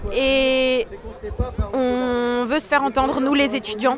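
Crowd noise sits behind a woman speaking at a high pitch. Her pace is very slow, her intonation monotone and flat. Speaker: drama student. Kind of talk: interview.

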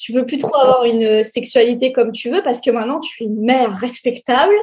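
A woman speaks at a moderate pace. Her voice sits fairly high. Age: 20s. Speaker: sex educator and influencer. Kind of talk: interview. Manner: hesitant with fillers.

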